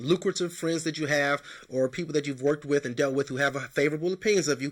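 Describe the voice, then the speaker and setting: Fairly high male pitch, a bright and sharp tone, and a very clean recording with a silent background. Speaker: job advice show host. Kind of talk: advice talk. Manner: fast; casual.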